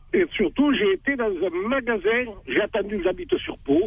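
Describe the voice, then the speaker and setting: A man talks fairly slowly. He swings his pitch very widely. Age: 60s. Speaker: caller. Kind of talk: radio call-in testimony.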